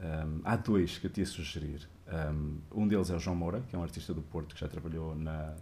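Very deep and low, the man's dark, mellow voice comes out somewhat breathy at a moderate pace. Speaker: game artist. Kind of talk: interview on a live stream.

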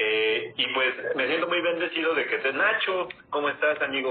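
Noticeable background noise accompanies this recording. A man speaks at a moderate pace. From Mexico City. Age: 20s. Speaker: network marketing entrepreneur. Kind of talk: casual live stream chat. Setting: online live video stream.

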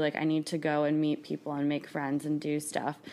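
A woman speaks in a very deep, low pitch with monotone, flat intonation. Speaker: friend of host. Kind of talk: casual chat.

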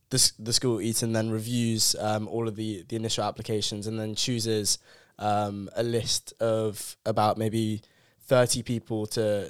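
Over a very clean recording with a silent background, a man speaks with a London accent. His pace is fairly slow and his intonation monotone and flat. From South London. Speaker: university student. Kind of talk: casual chat.

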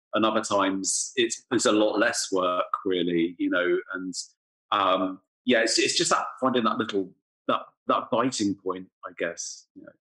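Someone speaks at a fairly slow pace with an English accent. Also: man. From England. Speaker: music writer and podcaster. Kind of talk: casual interview. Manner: halting, many fillers and repetitions.

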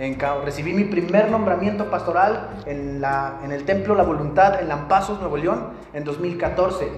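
A man with a northern Mexican accent talks at a fairly slow pace with hardly any pauses, in a high pitch with ordinary pitch variation, amid noticeable background noise and audible room echo. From northern Mexico, Tamaulipas and Coahuila. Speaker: pastor. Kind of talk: sermon.

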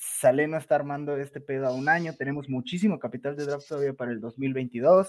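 In a Mexican accent, a man speaks at a fairly quick pace with fairly high pitch and fairly even intonation. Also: hardly any pauses. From Mexico, Veracruz. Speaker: guest podcaster, NFL fan. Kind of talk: casual panel discussion.

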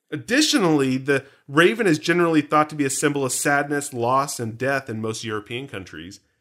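A man with a plain, everyday voice and fairly high pitch speaks at a fairly quick pace with lively intonation and hardly any pauses, on a very clean recording with a silent background. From Canada. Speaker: podcast host. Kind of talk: casual chat.

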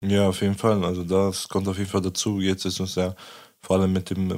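A man with a very deep, low pitch speaks at a fairly quick pace in a monotone, flat intonation. The recording is very clean, with a silent background. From southern Lower Saxony, Germany. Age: 20s. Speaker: human rights activist. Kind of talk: casual chat.

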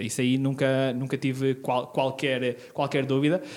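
In a very clean recording with a silent background, a man is talking. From northern Portugal, Terras de Basto (Trás-os-Montes). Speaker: local election candidate. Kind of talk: interview.

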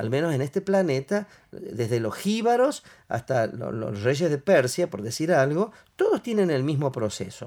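A man talks at a moderate pace. His voice shows very wide pitch swings. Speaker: NLP trainer. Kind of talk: casual chat.

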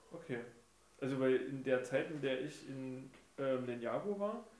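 A fairly high-pitched man talks with lively intonation in a room with audible echo. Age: 30s. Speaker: guest, childhood friend of the host. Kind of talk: casual chat.

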